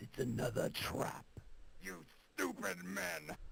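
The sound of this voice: Putting on a character voice, a man talks at a fairly slow pace in a raspy, very deep, low pitch.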